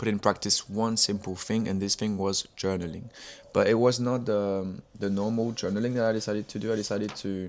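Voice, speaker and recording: A man with a French accent speaks at a fairly quick pace and a fairly low pitch. His intonation is fairly even, on a very clean recording with a silent background. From France. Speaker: music producer and artist. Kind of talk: casual vlog monologue. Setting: talking to camera. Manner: halting.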